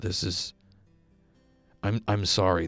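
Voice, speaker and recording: A man with fairly low pitch, music in the background. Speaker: YouTuber playing a video game. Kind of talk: casual, conversational.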